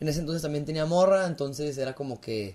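Here a man speaks at a very fast pace. His voice sits fairly high, with ordinary pitch variation. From Mexico, Torreón, Coahuila (La Laguna). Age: 20s. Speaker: podcaster and family business owner. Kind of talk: casual chat.

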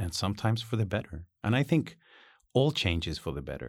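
A man with a Spanish accent on a very clean recording with a silent background. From Chile. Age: 40s. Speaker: university teacher. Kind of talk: casual interview chat.

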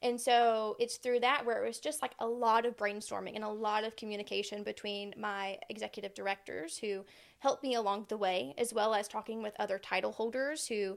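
Here a woman has an unremarkable speaking voice, talking at a fairly quick pace with a fairly high pitch and ordinary pitch variation on a very clean recording with a silent background. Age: young. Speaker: beauty pageant titleholder. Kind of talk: interview.

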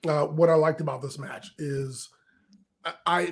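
A man's fairly high voice, a plain, everyday voice with ordinary pitch variation. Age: 50s. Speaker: wrestling podcast co-host. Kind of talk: casual chat.

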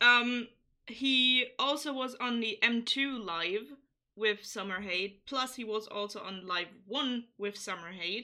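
A woman speaks at a fairly slow pace in a normal speaking voice, fairly high in pitch with ordinary pitch variation. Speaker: podcast host. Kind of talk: casual chat.

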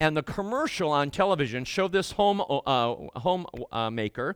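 In a very clean recording with a silent background, a man with an unremarkable speaking voice talks at a moderate pace and fairly high pitch with lively intonation. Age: 60s. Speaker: guest preacher. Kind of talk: sermon.

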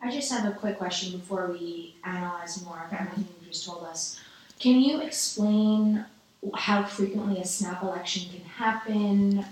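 A woman with a New York accent speaks at a moderate pace with medium pitch, ordinary pitch variation and big swings in loudness. Noticeable background noise is present. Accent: New York American. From New York City. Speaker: student podcast interviewer. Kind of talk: interview.

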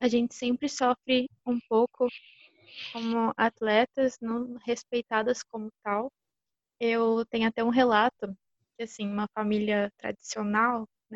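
A woman with a fairly high pitch talks at a fairly slow pace, leaving long, frequent pauses. Her intonation is monotone and flat, and the sound is dry and close with no echo. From São Paulo state, Brazil. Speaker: physical education student and flag football player. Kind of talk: podcast interview.

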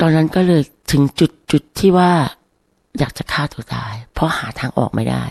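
A woman talks with a very deep, low pitch, vocal fry and ordinary pitch variation. The sound is dry and close, with no echo. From Thailand. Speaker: domestic violence survivor. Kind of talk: interview testimony.

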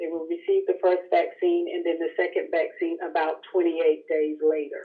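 A woman speaking at a fairly slow pace. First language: English (speaking Spanish). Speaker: clinical research staff. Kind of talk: expert explanation.

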